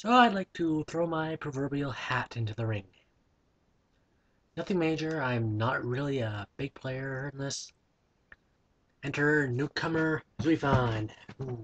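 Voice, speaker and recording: A man's fairly high voice at a fairly slow pace, with long, frequent pauses and ordinary pitch variation, dry and close with no echo, over a quiet background. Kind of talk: casual talk to camera. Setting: built-in laptop microphone. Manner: mumbled, not always coherent.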